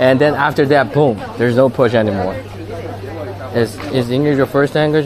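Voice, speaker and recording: A man with a Chinese accent speaks at a moderate pace and fairly high pitch, his loudness very even. Crowd noise sits in the background, and room echo is audible. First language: Taizhou dialect (Wu Chinese). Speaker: live streamer. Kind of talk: casual live-stream chat.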